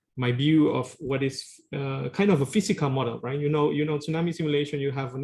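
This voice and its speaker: Very fast and fairly high for a man, a somewhat breathy male voice with a Spanish accent keeps a fairly even intonation. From Peru. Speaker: tsunami engineering researcher. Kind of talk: lecture.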